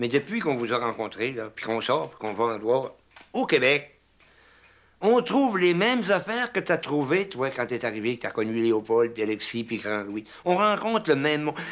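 In a very clean recording with a silent background, a man at a medium pitch speaks at a moderate pace, with very wide pitch swings and big swings in loudness. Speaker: fisherman. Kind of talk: documentary interview.

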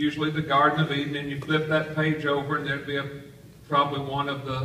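A man talking at a very fast pace, with light background noise and audible room echo. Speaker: pastor. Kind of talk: sermon. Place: hall.

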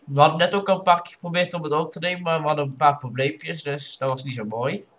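A man's voice with ordinary pitch variation. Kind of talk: casual gameplay commentary.

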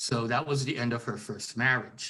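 Speaking in a Canadian accent, a man keeps a moderate pace with ordinary pitch variation. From Vancouver, Canada; British Columbia, Canada. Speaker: writer and historian; interviewee. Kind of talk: interview. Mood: calm, reflective. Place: home room. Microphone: video call.

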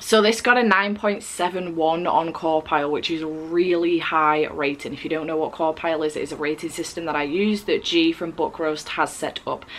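A woman with a fairly low pitch and ordinary pitch variation speaks at a moderate pace with hardly any pauses. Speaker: book vlogger. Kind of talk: casual vlog chat. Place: home room.

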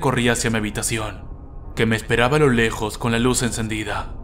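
Music sits in the background as the speaker goes at a fairly quick pace with fairly even intonation. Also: man. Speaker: creepypasta narrator. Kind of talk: first-person horror story narration, bedtime ghost story telling.

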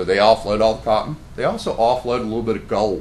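Music plays in the background as a man with an American accent talks. His pitch is medium and his pace is very fast. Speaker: local historian presenting trails program. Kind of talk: presentation at public meeting. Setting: county commissioners meeting room.

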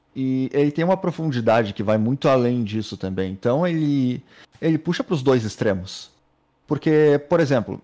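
With a dark, mellow tone and lively intonation, a man speaks at a moderate pace against a quiet background. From Brazil. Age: 30s. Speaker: pro gamer. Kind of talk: casual chat. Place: home room. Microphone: studio mic.

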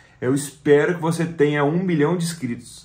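The pace is moderate. The voice sounds somewhat breathy. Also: man. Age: 30s. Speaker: YouTuber. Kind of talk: video message to his future self. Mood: earnest, slightly emotional. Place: home room. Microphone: phone near.

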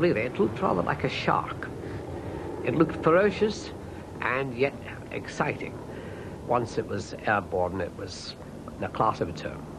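A man with a medium-pitched voice talks at a moderate pace, swinging very widely in pitch and leaving long, frequent pauses over noticeable background noise. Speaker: pilot or aviation expert. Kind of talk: archive interview recollection.

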